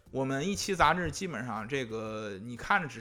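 Here a man's tone is bright and sharp, set at a medium pitch. His intonation is lively. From northern China (Hebei, Shijiazhuang). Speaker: music magazine editor. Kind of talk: casual chat. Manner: hesitant, many fillers.

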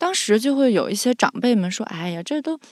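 A woman talks at a fairly quick pace in a fairly high voice, her pitch swinging very widely. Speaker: podcast co-host and audio editor. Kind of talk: casual chat.

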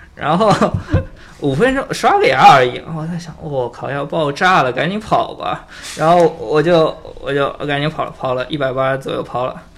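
The speaker is a man at a moderate pace. Noticeable background noise runs underneath. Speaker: IT worker. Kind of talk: casual chat.

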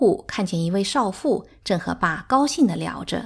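On a very clean recording with a silent background, a woman speaks at a fairly slow pace in a calm tone, with vocal fry and very wide pitch swings. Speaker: audiobook narrator. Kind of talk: literary audiobook reading. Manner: measured, calm storytelling pace.

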